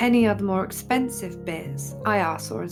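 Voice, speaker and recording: A woman speaks with an English accent in a calm, relaxed tone. Music plays in the background. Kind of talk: vlog voiceover.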